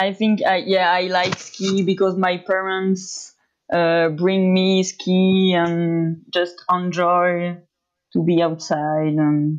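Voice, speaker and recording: A woman with a French accent talks at a very slow pace and medium pitch, her loudness very even and her intonation fairly even. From France. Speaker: pro skier. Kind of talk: interview.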